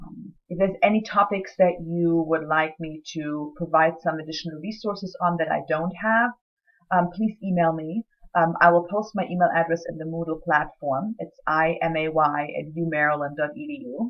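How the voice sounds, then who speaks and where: With a German accent, a woman speaks at a fairly low pitch. Her loudness swings widely. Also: ordinary pitch variation, moderate pace. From Germany. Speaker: writing center director and lecturer. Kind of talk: recorded course introduction. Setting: self-recorded video. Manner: hesitant, many fillers.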